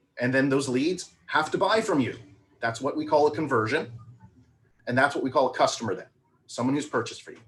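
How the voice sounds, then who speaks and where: Speaking at a very fast pace with long, frequent pauses, a man with a fairly high pitch and a somewhat breathy voice shows ordinary pitch variation and big swings in loudness. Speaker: marketing coach. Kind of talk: webinar presentation. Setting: live video stream.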